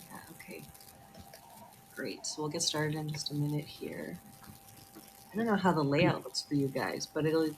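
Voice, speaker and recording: Very deep, low female speech with ordinary pitch variation over noticeable background noise. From Northern Ontario, Canada. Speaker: podcast host. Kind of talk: interview introduction. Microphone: too quiet.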